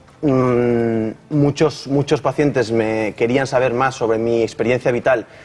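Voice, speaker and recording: A man speaks at a medium pitch with fairly even intonation. Noticeable background noise sits behind him. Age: young. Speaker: psychologist and speech therapist. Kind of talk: TV interview. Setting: TV studio. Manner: halting, repeated syllables.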